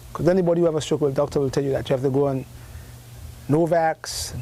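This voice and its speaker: With a Grenadian accent, a man speaks at a fairly high pitch with fairly even intonation over noticeable background noise. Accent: Grenadian Caribbean English. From Grenada. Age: 60s. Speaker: herbalist. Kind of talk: interview. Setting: live broadcast from a health food store.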